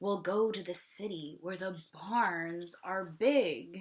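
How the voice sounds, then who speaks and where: A woman's put-on character voice, medium in pitch and very slow in pace. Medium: read story.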